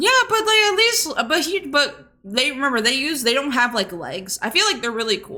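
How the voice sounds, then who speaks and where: Raising and projecting her voice, a woman speaks at a high pitch in an animated tone, with very wide pitch swings, a moderate pace and hardly any pauses. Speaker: VTuber podcast co-host. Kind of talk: casual chat. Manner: stutters.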